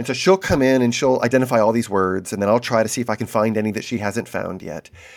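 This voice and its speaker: A man's ordinary speaking voice, medium in pitch with ordinary pitch variation, comes through a very clean recording with a silent background. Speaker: podcast co-host. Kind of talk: casual discussion.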